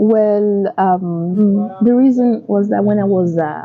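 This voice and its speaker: A woman speaks in a Yoruba accent at a medium pitch. Background noise is noticeable. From southern Nigeria. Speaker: vlogger, public health worker. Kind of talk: casual chat.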